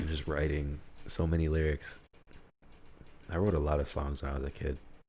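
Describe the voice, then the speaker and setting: A man with an American accent speaks fairly quickly in a very deep, low voice, somewhat breathy and dark and mellow in tone, with monotone, flat intonation. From Utica, New York. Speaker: podcaster. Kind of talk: casual solo monologue.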